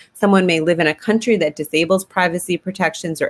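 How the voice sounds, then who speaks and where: With an American accent and a fairly low pitch, a woman talks at a very fast pace with ordinary pitch variation, in a dry, close sound with no echo. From United States. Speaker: sociology lecturer. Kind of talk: webinar presentation.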